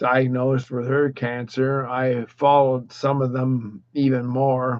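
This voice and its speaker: A man with a medium pitch talks at a very slow pace. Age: 60s. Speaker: widower vlogger. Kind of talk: personal monologue. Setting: live stream. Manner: halting.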